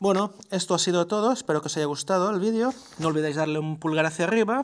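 With lively intonation, a man with an ordinary speaking voice talks at a fairly quick pace. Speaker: tech YouTuber. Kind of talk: tutorial.

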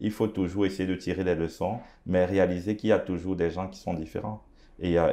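A man with an African accent, very deep and low in pitch, fairly quick, monotone and flat in intonation. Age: young. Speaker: pastor and entrepreneur; interview guest. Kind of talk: interview. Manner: halting, many hesitations. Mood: calm, reflective. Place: studio. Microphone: lapel.

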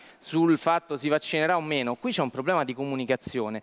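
A man talks at a fairly quick pace. His voice is fairly high, with ordinary pitch variation. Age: young. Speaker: lawyer. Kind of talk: talk show discussion. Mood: critical, argumentative. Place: studio. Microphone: headset.

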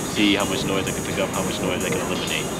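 A man speaking at a fairly quick pace, with music in the background. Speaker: vlogger testing a microphone. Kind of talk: casual vlog chat. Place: street. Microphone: phone near.

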